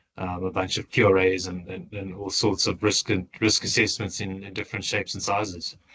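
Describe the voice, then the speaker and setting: A man with a South African accent talks at a fairly quick pace with hardly any pauses. His very deep, low voice has a bright, sharp tone and monotone, flat intonation. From South Africa, Johannesburg. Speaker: tailings engineer. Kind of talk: interview. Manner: halting, many repeated words.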